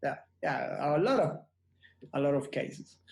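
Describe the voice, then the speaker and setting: This is a man talking. He has a non-native accent. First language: Spanish. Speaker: photographer. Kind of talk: casual interview. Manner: halting, many repetitions.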